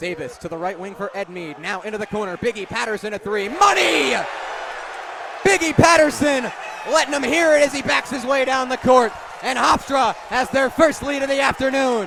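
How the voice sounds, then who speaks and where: Raised and projected, an energetic man's voice sits at an extremely high pitch with very wide pitch swings, heard over noticeable background noise. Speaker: sports broadcaster. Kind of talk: radio basketball play-by-play. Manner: fast, energetic.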